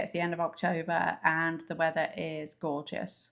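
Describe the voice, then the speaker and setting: In a very clean recording with a silent background, a woman talks with an English accent. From England. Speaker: travel vlogger. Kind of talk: casual chat.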